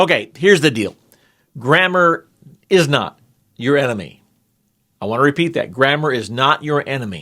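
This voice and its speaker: A man's fairly high, animated voice with a bright, sharp tone, vocal fry, and lively intonation, at a moderate pace with long, frequent pauses, on a very clean recording with a silent background. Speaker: grammar teacher. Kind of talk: tutorial.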